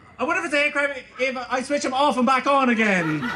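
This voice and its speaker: In a room with audible echo, a man with an Irish accent projects a raised voice at an extremely high pitch and a moderate pace. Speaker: comedian. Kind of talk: stand-up. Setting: stage with audience.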